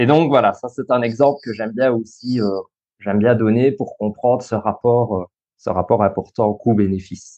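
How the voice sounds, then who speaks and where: A man with a slight Belgian accent and a dark, mellow tone, medium in pitch, at a moderate pace with fairly even intonation. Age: 30s. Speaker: social worker and school coach. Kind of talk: interview.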